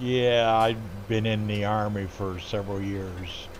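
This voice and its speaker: Fairly even intonation in audible room echo. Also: man. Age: 60s. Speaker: gaming streamer, Army veteran. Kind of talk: casual chat while live-streaming a game.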